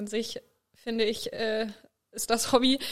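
Speaking at a fairly slow pace, a woman with a fairly high pitch keeps her intonation flat and monotone. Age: young (18). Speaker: vaulting athlete and student. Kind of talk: casual conversation.

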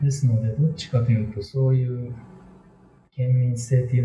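A man talks at a moderate pace in a room with audible echo, with music in the background. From Wakayama, Japan. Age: 40s. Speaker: English teacher. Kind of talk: interview. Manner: hesitant, many fillers.

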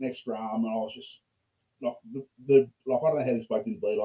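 A man's dark, mellow voice in an Australian accent, medium in pitch with ordinary pitch variation, at a very fast pace. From Australia, Port Macquarie. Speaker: rugby player. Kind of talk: casual chat.

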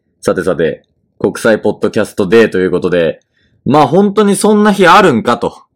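Over a very clean recording with a silent background, a man talks at a fairly quick pace with vocal fry and very wide pitch swings. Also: medium pitch for a man. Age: 20s. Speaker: podcast host. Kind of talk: casual chat. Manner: formal.

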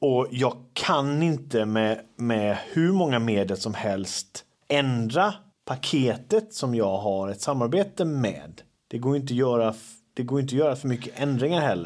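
Here is an ordinary speaking voice from a man at medium pitch. He talks fairly slowly with lively intonation. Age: 30s. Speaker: podcast host, social media creator. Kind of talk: casual chat. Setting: at home.

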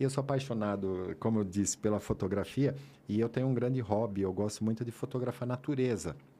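At a fairly quick pace, a man with a dark, mellow tone speaks in a medium pitch with ordinary pitch variation and very even loudness. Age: 50s. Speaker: sports photographer. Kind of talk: casual interview chat. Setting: studio, live podcast.

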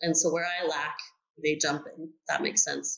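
The speaker has an ordinary speaking voice. The intonation stays fairly even. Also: woman. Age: 40s. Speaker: business owner. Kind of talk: interview.

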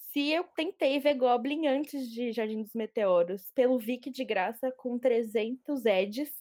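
A woman's high-pitched voice with lively intonation, at a very slow pace with hardly any pauses. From Brazil, São Paulo. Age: 20s. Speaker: podcast host, journalist. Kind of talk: casual chat.

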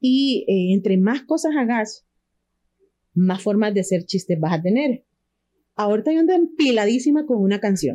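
With lively intonation and a dark, mellow tone, a woman speaks at a fairly high pitch and moderate pace in a dry, close sound with no echo. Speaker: comedian, radio announcer and university lecturer. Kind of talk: casual chat.

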